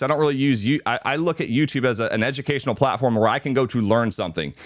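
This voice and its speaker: Speaking very fast at a medium pitch with ordinary variation, a man is heard on a very clean recording over a silent background. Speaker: real estate agent and video trainer. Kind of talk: live training talk. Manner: conversational, some filler words.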